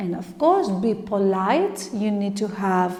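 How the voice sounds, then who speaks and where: A woman speaks at a medium pitch in a non-native accent. Audible room echo is present. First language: not English. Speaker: tarot reader. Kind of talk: tarot reading monologue. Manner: halting.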